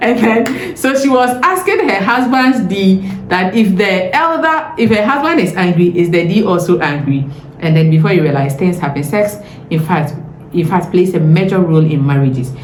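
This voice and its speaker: A woman with a Ghanaian accent sounds animated, her pitch swinging very widely while her loudness stays very even, amid audible room echo and noticeable background noise. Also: medium pitch for a woman, moderate pace. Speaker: lifestyle and marriage vlogger. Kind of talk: advice vlog monologue.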